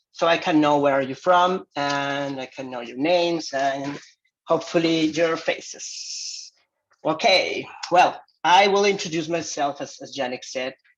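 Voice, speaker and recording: A man with a non-native accent talks at a fairly slow pace in a fairly high pitch, his pitch varying in an ordinary way while his loudness swings widely. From Mexico, Jalisco. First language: Spanish. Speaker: visiting professor. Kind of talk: lecture. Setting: video call.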